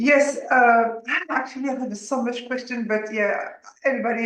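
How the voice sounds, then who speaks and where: A woman with a slight French accent and a high pitch speaks at a fairly slow pace, with ordinary pitch variation and audible room echo. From France. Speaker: audience member asking questions. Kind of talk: Q and A on video call. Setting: video call.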